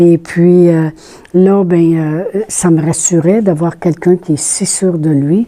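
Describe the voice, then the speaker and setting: With a Quebec accent, a woman speaks at a very slow pace in a fairly low, dark, mellow voice with fairly even intonation. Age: 60s. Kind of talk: testimony. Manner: casual, conversational with hesitations.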